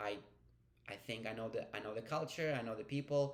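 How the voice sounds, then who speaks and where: Speaking with a non-native accent, a man uses medium pitch and ordinary pitch variation. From Ukraine, then Hungary. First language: Ukrainian. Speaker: vlogger. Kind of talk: personal vlog storytelling. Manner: casual, with fillers and self-corrections.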